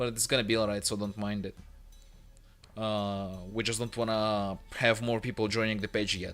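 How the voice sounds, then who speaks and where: Against music in the background, a man speaks at a moderate pace in a fairly low, monotone, flat voice with long, frequent pauses. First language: Russian (also Italian). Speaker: game developer and 3D modeler streamer. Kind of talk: casual livestream chat. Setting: late-night livestream at home. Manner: quiet, held-back volume; halting, with fillers.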